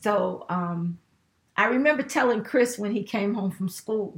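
With vocal fry and an American accent, a woman talks at a moderate pace with lively intonation. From Chicago South Side. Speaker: gospel singer. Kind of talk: interview.

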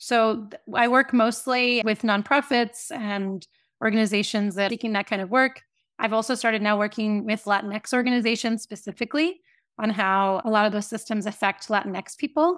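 A woman with an American accent and a normal speaking voice talks at a moderate pace and a fairly high pitch with ordinary pitch variation, on a very clean recording with a silent background. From US South (Tampa, Florida). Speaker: writer and workshop facilitator. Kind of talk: interview, reading own essay aloud then conversation.

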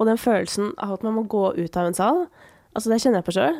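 Very fast speech from a woman with lively intonation. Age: 30s. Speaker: podcast host. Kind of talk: casual interview. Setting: studio.

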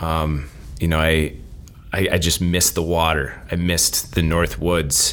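Speaking fairly slowly with an American accent, a man has a very deep, low pitch and a bright, sharp tone. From Minnesota. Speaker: professor. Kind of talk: casual chat.

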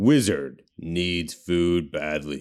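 Pitching his voice very deep and low, a man performs a put-on character voice. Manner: booming, gruff, dramatic.

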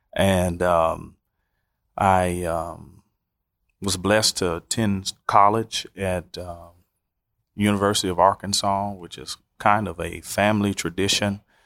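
A man with a Southern US accent speaks at a fairly slow pace and fairly low pitch, with long, frequent pauses. His intonation is monotone and flat, his loudness swings widely, and the recording is very clean with a silent background. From US South. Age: 30s. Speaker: pastor. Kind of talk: personal testimony.

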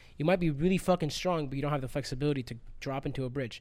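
The recording is very clean, with a silent background. A man talks with ordinary pitch variation. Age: 30s. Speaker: parkour athlete and coach. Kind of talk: casual chat. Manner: animated.

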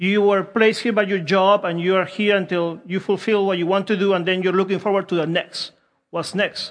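The speaker has a Peruvian accent. The pace is moderate. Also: man. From Peru (Lima). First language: Spanish. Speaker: preacher. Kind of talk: sermon. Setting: church.

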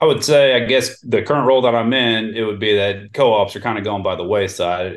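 With an American accent, a man talks at a moderate pace with fairly even intonation in an ordinary speaking voice. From Houston, Texas. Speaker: grain elevator manager and merchandiser. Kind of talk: casual interview.

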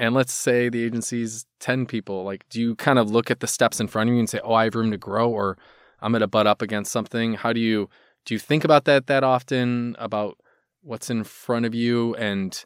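A man with a normal speaking voice talks at a fairly quick pace with a medium pitch and fairly even intonation, in a very clean recording with a silent background and a dry, close sound with no echo. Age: 40s. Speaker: ad agency founder, podcast host. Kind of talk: casual interview.

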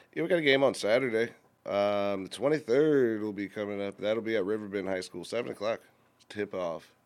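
This man has an ordinary speaking voice, fairly low in pitch with ordinary pitch variation. He talks at a fairly quick pace. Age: 30s. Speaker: co-host.

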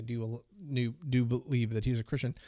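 A man talks at a moderate pace and medium pitch in a normal speaking voice. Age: 50s. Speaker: podcast co-host. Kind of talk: casual chat about faith. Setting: remote recording over the internet.

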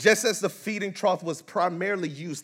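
The male speaker sounds animated. He keeps a moderate tempo. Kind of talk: sermon. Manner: animated, call-and-response, inviting the congregation to say amen.

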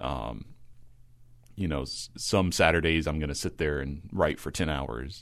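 Vocal fry in an American accent, with ordinary pitch variation at a very slow pace. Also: man. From rural Kentucky, US. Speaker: composer. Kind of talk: casual interview.

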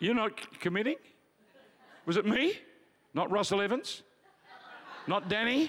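A man with an Australian accent speaks in a high, animated voice at a moderate pace, his intonation lively and his loudness very even, with long, frequent pauses. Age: 70s. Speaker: pastor. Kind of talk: sermon. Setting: church.

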